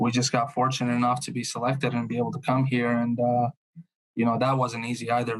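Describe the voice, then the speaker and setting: A man with a Bosnian accent talks at a very fast pace. His medium-pitched voice has monotone, flat intonation. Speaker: truck sales consultant. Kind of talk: podcast interview answer.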